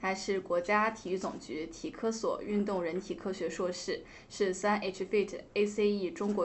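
A woman speaks in a plain, everyday voice at a medium pitch. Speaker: radio podcast host. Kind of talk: interview, host introduction. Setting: podcast studio.

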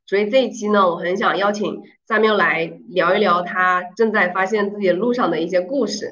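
Audible room echo surrounds a woman speaking at a moderate pace, her medium pitch held in fairly even intonation. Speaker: podcast host. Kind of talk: casual interview chat.

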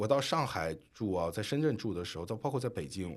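Very wide pitch swings mark a man's fairly quick delivery on a very clean recording with a silent background. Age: 30s. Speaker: podcast co-host, former finance worker. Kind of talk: casual chat.

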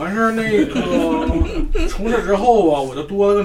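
Over noticeable background noise, a man with a Northeastern Chinese accent speaks at a high pitch with very wide pitch swings. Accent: Northeastern Mandarin. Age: 30s. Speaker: fan attendee. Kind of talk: casual group sharing.

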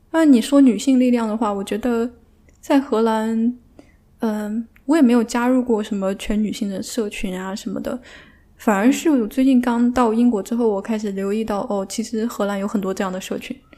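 Intonation here is fairly even. The tone comes across dark and mellow. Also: woman, fairly high pitch for a woman, moderate pace. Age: 30s. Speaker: PhD student. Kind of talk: casual chat.

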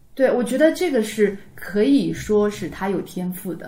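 Her voice is medium in pitch and somewhat breathy, and this woman speaks with a dark, mellow tone and ordinary pitch variation. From Taizhou, Zhejiang. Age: 30s. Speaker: amateur Yue opera singer. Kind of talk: casual chat.

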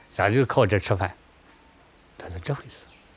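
This man speaks at a moderate pace with a fairly low pitch and ordinary pitch variation. His voice is somewhat breathy. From southern Shaanxi (Yang County, Huangjin Gorge). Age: 60s. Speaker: retired river boatman. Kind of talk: interview testimony.

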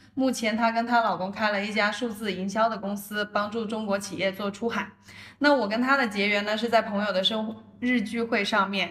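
A woman with a fairly high pitch talks at a fairly quick pace in a monotone, flat intonation, with noticeable background noise. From New Zealand. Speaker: podcast host. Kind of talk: scripted narration.

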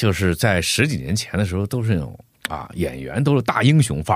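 The voice swings very widely in pitch and carries vocal fry. It moves at a fairly quick pace in a very clean recording with a silent background. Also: man. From Heilongjiang, northeast China. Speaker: voice actor. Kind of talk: casual chat.

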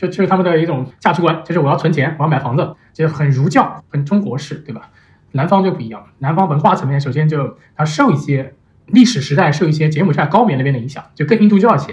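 Speaking very fast, a man shows ordinary pitch variation. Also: fairly high pitch for a man. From Nanjing, China. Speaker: venture investor. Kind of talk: casual interview chat. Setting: remote recording.

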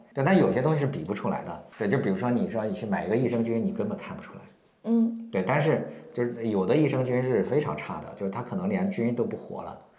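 The speech races at a very fast pace with very wide pitch swings. Noticeable background noise and audible room echo surround it. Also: man, medium pitch for a man. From rural China. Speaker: marketing consultant and company founder. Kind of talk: interview. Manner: hesitant, many fillers.

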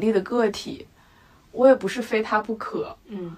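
There is noticeable background noise as a woman talks in a fairly high pitch. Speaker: podcast co-host, designer. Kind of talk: casual chat.

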